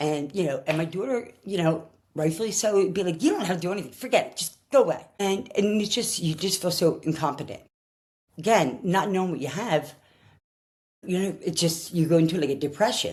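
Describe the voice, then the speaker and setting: With a Philadelphia accent, the speaker goes at a fairly quick pace, somewhat breathy, with ordinary pitch variation. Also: woman, fairly low pitch for a woman. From Philadelphia, US. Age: 60s. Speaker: person sharing her diagnosis story. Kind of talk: personal testimony. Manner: halting, with many fillers and restarts.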